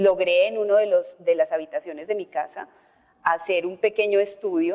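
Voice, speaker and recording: At a moderate pace, a woman speaks with fairly even intonation. Her pitch sits at a medium level. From Colombia, Antioquia. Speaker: voice-over artist and journalist. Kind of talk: interview conversation.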